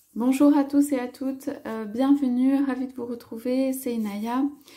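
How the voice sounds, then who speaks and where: A soft-spoken woman's high voice with a dark, mellow tone, at a fairly slow pace. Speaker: tarot card reader. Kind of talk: tarot reading. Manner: halting, many hesitations.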